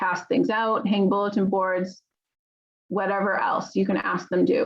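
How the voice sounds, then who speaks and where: Fairly flat intonation, very uniform volume, vocal fry, and a fairly slow pace. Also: woman, medium pitch for a woman. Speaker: teacher. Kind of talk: lecture.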